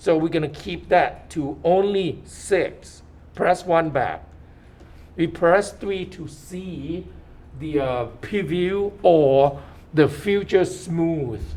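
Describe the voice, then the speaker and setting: A high-pitched man's voice with a non-native accent, lively intonation and audible room echo. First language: not English. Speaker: 3D modeling instructor. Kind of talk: lecture. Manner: halting.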